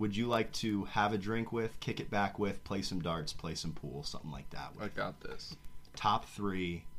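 Here is a man with an ordinary speaking voice and a fairly low pitch. He talks at a moderate pace with ordinary pitch variation. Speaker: podcast host. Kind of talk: casual chat. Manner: joking, playful.

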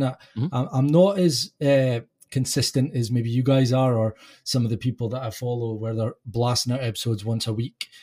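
A man talks at a fairly quick pace in a medium, somewhat breathy voice with a dark, mellow tone and ordinary pitch variation. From UK. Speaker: podcast host, guest. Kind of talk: casual chat. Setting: remote call.

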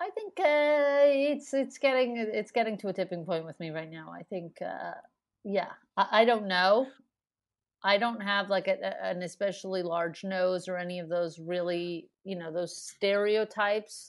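Lively intonation and big swings in loudness mark this woman's speech. She has an ordinary speaking voice and a moderate pace. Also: medium pitch for a woman. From Montreal, Canada. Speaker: comedian. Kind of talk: casual interview chat.

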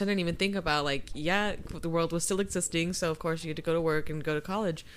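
Her pitch is fairly low. The speaker is a woman. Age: 20s. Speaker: podcast host. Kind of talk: casual chat. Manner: animated.

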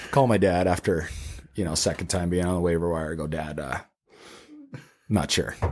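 A man with a Canadian accent talks at a fairly quick pace in a very deep, low voice with ordinary pitch variation. He leaves long, frequent pauses. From Canada. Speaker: professional hockey player. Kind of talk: casual chat.

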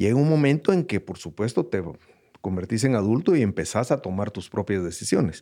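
Very wide pitch swings come at a fairly quick pace on a very clean recording with a silent background. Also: man, fairly low pitch for a man. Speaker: host's father, entrepreneur. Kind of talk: casual chat. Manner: halting, many repetitions.

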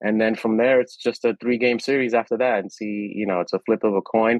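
This man has a normal speaking voice, pitched fairly low, and talks at a fairly quick pace. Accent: American. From New York City, Washington Heights. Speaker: wellness company CEO. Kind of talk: interview conversation.

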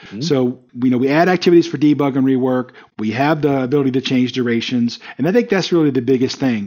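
At a very fast pace, a man speaks in a fairly high pitch with a dark, mellow tone and ordinary pitch variation. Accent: slight Southern US. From US South, South Carolina. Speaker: company CEO, project management expert. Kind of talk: interview. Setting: call.

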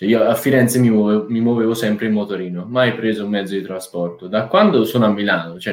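With a normal speaking voice, a man moves along at a fairly quick pace and varies his pitch in an ordinary way. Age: 20s. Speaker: economics student. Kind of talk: casual chat.

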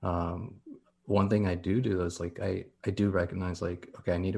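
A man's very deep, low voice, somewhat breathy and flat in intonation, with an American accent. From Southern California. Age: 30s. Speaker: plant collector. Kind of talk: casual chat.

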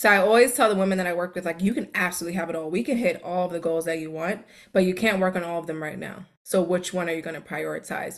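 Fairly even intonation in an American accent comes at a very fast pace. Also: woman. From New York City, Queens. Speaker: time management coach. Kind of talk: casual chat.

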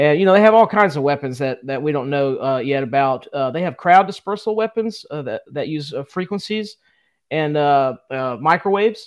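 Against a quiet background, the speech moves at a fairly quick pace with lively intonation. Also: man. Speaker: podcast co-host. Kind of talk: casual chat. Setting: live stream.

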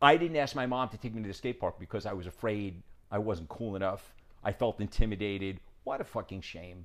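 A normal speaking voice with an American accent moves at a fairly quick pace, with ordinary pitch variation and big swings in loudness. The recording is very clean, with a silent background. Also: man, fairly low pitch for a man. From New York. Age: 50s. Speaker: documentary filmmaker. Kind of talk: casual interview conversation. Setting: in person at host's home.

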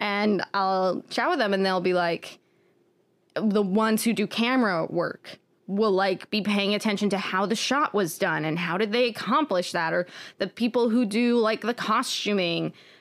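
A woman speaks in an ordinary speaking voice at medium pitch, with ordinary pitch variation and very even loudness at a moderate pace. The recording is very clean, the background silent. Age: 20s. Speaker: podcast co-host. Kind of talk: casual chat.

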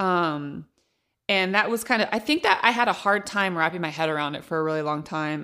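A woman with an ordinary speaking voice, fairly low in pitch with ordinary variation, at a fairly quick pace, on a very clean recording with a silent background. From Central Valley of California (Modesto). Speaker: stand-up comedian. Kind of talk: casual chat.

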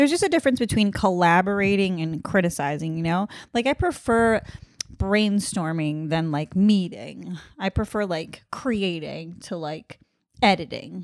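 A woman with an unremarkable speaking voice talks at a medium pitch and moderate pace, with lively intonation. The recording is very clean, the background silent. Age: 20s. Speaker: podcast co-host, comedian. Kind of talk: casual chat.

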